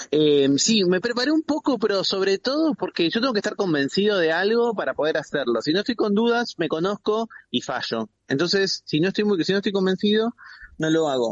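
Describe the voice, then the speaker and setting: A man's high voice swings very widely in pitch while his loudness stays very even, his pace fairly quick. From Buenos Aires province, Argentina. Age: 40s. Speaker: philosopher and journalist. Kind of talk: interview. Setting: phone call.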